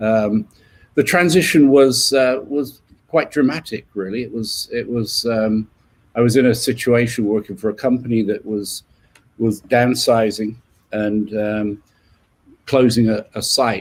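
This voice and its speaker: English accent, fairly slow pace, very clean recording with a silent background. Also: man, medium pitch for a man, ordinary pitch variation. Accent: English accent, kept after 30 years in US. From southern England, west of London. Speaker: leadership coach. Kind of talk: interview. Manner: halting, many fillers and repeats.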